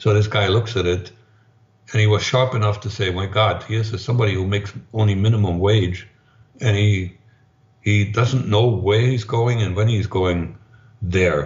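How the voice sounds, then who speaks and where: A man's somewhat breathy, fairly low voice at a moderate pace, with fairly even intonation. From East Germany. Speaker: former spy and author. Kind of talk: interview conversation.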